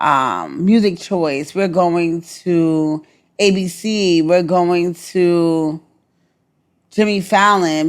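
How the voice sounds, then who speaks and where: A woman with a Brooklyn accent speaks at a medium pitch with ordinary pitch variation, on a very clean recording with a silent background. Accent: New York (Brooklyn). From New York, Brooklyn. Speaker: Navy veteran and entertainment publicist. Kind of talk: interview. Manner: repetitive, stammering restarts.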